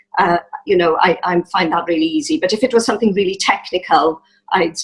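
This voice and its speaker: A woman's medium-pitched voice in a Welsh accent, fairly quick, with lively intonation and very even loudness. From South Wales, Rhondda Valleys. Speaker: musician and church member. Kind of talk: interview testimony. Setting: video call. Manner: hesitant, many fillers.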